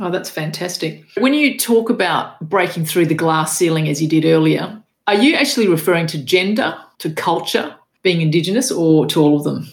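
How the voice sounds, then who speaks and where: In an Australian accent, a woman speaks at a fairly low pitch and moderate pace. Her intonation is lively, with audible room echo. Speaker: podcast host. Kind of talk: interview.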